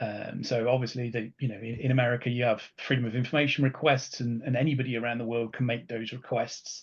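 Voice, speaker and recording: Against a quiet background, a man with a British accent speaks at a medium pitch. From UK. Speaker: solutions architect. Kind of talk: webinar presentation. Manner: halting, many fillers.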